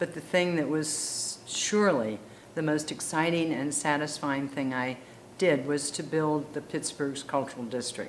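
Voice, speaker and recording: A woman speaks with a very deep, low pitch and ordinary pitch variation at a fairly slow pace. Noticeable background noise can be heard. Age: 80s+. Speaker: arts administrator. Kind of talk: interview answer.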